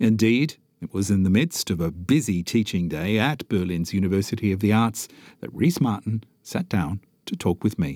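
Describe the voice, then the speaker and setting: In a very clean recording with a silent background and a dry, close sound with no echo, a man with a dark, mellow tone and a fairly low pitch speaks at a moderate pace with lively intonation. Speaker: podcast host. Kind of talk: interview. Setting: Berlin production.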